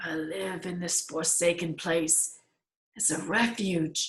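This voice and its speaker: Using a raspy, put-on character voice at medium pitch, a woman speaks at a very slow pace. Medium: read story. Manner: solemn, prayerful.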